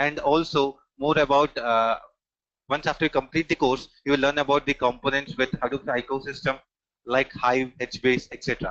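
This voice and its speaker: A man's fairly high voice in an Indian accent, monotone and flat, with a dry, close sound and no echo. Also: moderate pace. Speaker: technical trainer. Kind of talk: online training demo session. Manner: frequent filler hesitations.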